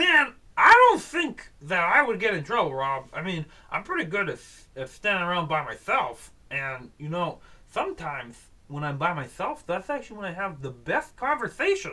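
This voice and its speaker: At a middle pitch and moderate pace, the speaker uses a put-on character voice. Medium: read story. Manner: slow, rambling, cheerfully confused.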